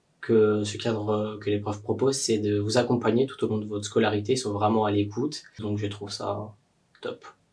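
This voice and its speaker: A fairly low-pitched, somewhat breathy man at a fairly quick pace. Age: 20s. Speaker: university student. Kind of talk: testimony. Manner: hesitant, many fillers.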